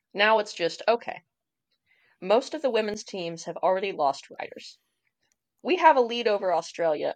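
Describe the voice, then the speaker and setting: A woman with an American accent speaks at a moderate pace with very wide pitch swings against a quiet background. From Indiana, US Midwest. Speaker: pro enduro racer. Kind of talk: interview.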